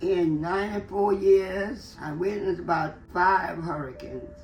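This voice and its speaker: With music playing in the background, a woman speaks in a New Orleans accent. Her pace is very slow. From New Orleans, Louisiana. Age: 80s+. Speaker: retired businesswoman. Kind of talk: interview answer, reminiscing.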